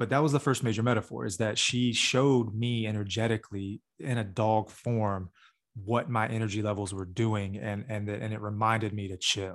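Recorded very cleanly against a silent background, a man talks at a moderate pace. His pitch is fairly low and his intonation fairly even. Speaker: podcast co-host. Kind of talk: casual chat. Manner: soft-spoken.

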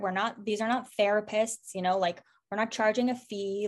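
At a moderate pace, an unremarkable speaking voice keeps fairly even intonation. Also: woman. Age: 20s. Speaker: sober community founder. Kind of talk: casual interview.

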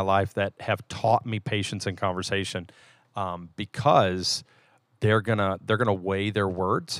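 In a very clean recording with a silent background and a dry, close sound with no echo, a man with an unremarkable speaking voice talks at a moderate pace at a fairly low pitch. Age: 40s. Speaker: lead church elder and podcast co-host. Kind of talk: casual chat.

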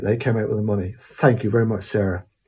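A man's somewhat breathy voice in a Cornish accent, medium in pitch, with a dark, mellow tone. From Cornwall. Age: 60s. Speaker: musician. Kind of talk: casual storytelling monologue. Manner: hesitant, many fillers.

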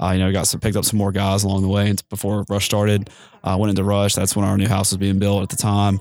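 Very fast, monotone speech from a fairly low-pitched man in a Southern US accent, with very even loudness and a very clean, silent background. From US South, Mississippi Gulf Coast. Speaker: fraternity chapter member. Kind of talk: interview. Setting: mobile studio at a conference.

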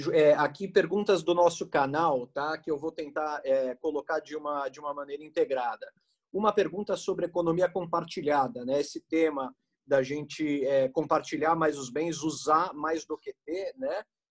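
At a moderate pace, a man with a plain, everyday voice speaks with a fairly high pitch and ordinary pitch variation. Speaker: co-host interviewer. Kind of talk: casual interview chat. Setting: video call.

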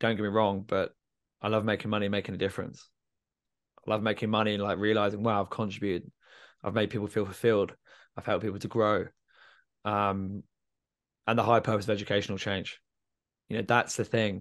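Over a quiet background, a man with a southern English accent speaks very fast at a fairly low pitch with monotone, flat intonation and long, frequent pauses. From England, Milton Keynes. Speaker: student life coach and former teacher. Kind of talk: interview conversation.

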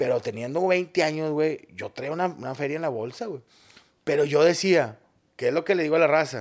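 A man's ordinary speaking voice, fairly high in pitch, with ordinary pitch variation at a fairly quick pace. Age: 40s. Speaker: comedian. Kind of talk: casual chat.

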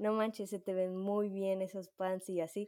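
A woman speaks with a Mexican accent and a dark, mellow tone. The recording is very clean, with a silent background. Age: 20s. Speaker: podcast co-host. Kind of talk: casual chat.

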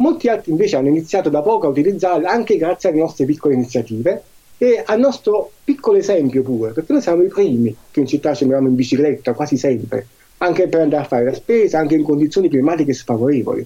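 The voice is dark and mellow, with lively intonation. It moves at a very fast pace at very even loudness. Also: man, fairly high pitch for a man. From Marcianise, Campania. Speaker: cycling advocacy association president. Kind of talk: interview.

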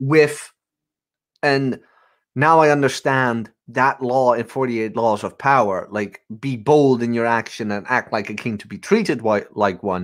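A man has a plain, everyday voice, medium in pitch, speaking at a fairly slow pace with lively intonation in a very clean recording with a silent background. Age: 20s. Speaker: podcast host. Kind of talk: casual chat. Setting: live video stream.

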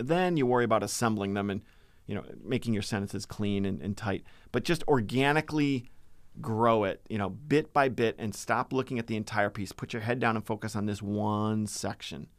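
A man with an American accent has a normal speaking voice, fairly low in pitch. He moves at a fairly quick pace with ordinary pitch variation. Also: very clean recording, silent background. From Massachusetts. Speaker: university writing lecturer. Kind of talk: casual interview.

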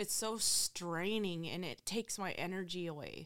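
A woman speaks with a Midwestern American accent at a medium pitch. Her pace is fairly slow. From Ohio, Findlay. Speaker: recovering addict. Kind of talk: testimony. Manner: casual, filler-heavy.

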